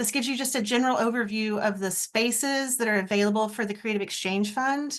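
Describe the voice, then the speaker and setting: A woman has an unremarkable speaking voice at a moderate pace. The background is quiet. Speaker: arts program staff presenter. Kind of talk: online info session presentation.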